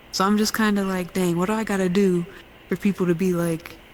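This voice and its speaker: At a very fast pace, a woman speaks with monotone, flat intonation. Her pitch is medium. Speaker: podcast co-host. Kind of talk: casual chat.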